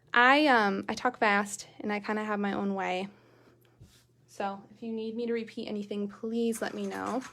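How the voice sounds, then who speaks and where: Speaking with fairly even intonation, a woman uses a fairly high, bright and sharp voice whose loudness swings widely. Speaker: sewing tutorial host. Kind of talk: live-streamed sewing tutorial. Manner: fast; casual, chatty.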